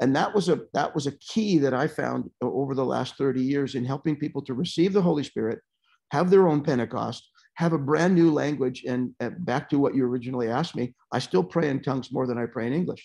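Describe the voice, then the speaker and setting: Against a quiet background, the voice moves at a fairly quick pace with a dark, mellow tone and ordinary pitch variation. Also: man, fairly high pitch for a man. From Calgary, Canada; Canada. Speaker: pastor guest. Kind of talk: fervent prayer in the spirit, then casual testimony. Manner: animated, fervent and rhythmic in prayer. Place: home room. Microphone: earbuds.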